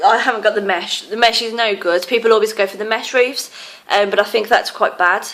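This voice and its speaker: Over noticeable background noise, a woman with an English accent talks at a fairly quick pace, her fairly high pitch held in fairly even intonation. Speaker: tarantula keeper. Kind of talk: casual show-and-tell video. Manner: hesitant with many fillers.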